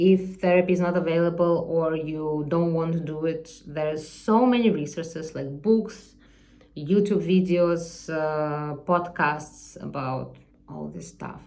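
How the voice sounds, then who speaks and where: A woman with a non-native accent talks at a fairly slow pace in a dark, mellow tone, her intonation fairly even. Her loudness swings widely, and room echo is audible. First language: not English. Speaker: artist vlogger. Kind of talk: unscripted personal vlog monologue. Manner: halting, searching for words.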